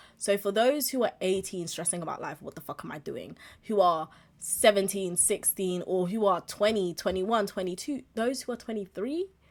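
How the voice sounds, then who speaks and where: A woman at medium pitch talks at a moderate pace with ordinary pitch variation, in a normal speaking voice. Her loudness swings widely. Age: 20s. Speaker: podcast host and streamer. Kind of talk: casual monologue. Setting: live stream with webcam.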